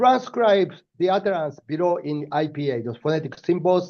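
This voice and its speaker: With a Japanese accent, a man speaks at a moderate pace in a fairly high pitch with a dark, mellow tone. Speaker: professor. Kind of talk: lecture. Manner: hesitant, many fillers.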